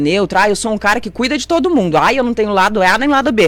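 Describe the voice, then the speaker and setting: Noticeable background noise surrounds a woman talking in an animated tone. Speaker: city councillor. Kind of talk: radio interview. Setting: radio studio, also streamed on Facebook. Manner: fast.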